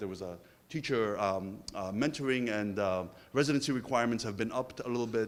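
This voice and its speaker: Intonation is lively in this man's speech. He talks at a fairly quick pace. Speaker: survey researcher presenting findings. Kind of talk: presentation of survey findings. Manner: fast.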